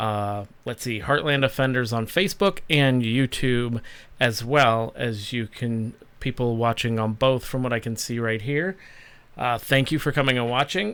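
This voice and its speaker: A man at medium pitch with ordinary pitch variation and a moderate pace, in a very clean recording with a silent background. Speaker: live stream host. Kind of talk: casual live stream chat. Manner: loud.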